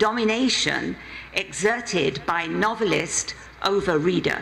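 Speaking slowly at a medium pitch, a woman uses lively intonation and a fairly bright tone with vocal fry, over faint background noise.

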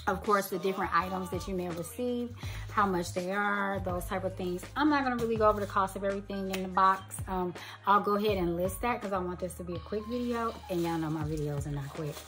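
A woman speaks at a very fast pace while music plays clearly in the background. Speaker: beauty vlogger. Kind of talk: casual unboxing vlog chat. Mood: cheerful, chatty. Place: home room.

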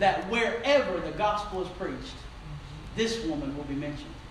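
A man talks at a moderate pace. There is light background noise and audible room echo. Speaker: preacher. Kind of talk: sermon. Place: church. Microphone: camera far.

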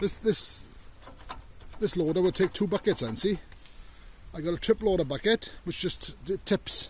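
A man at a moderate pace with ordinary pitch variation, in a dry sound with no echo over light background noise. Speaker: hobbyist tractor owner. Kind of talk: casual vlog chat. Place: open country. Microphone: phone near.

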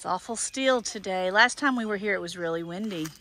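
A woman speaks at a fairly quick pace in a medium pitch, her tone bright and sharp, with ordinary pitch variation.

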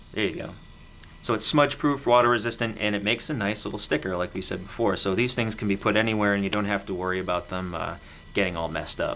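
Over light background noise, a man speaks very fast at a fairly low pitch with ordinary pitch variation. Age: 30s. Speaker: camera store video host. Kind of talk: product review chat. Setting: studio. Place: studio.

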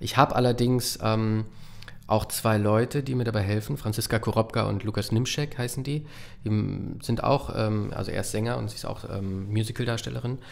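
Fairly low male voice, fairly even intonation, moderate pace. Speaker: voice actor and puppeteer; voice actor. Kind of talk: casual chat. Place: studio. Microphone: studio mic.

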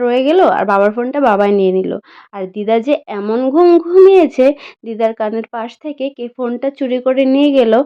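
A woman speaks with a high pitch and lively intonation. Her loudness swings widely. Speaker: vlogger. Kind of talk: vlog narration. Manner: halting, stumbling over words.

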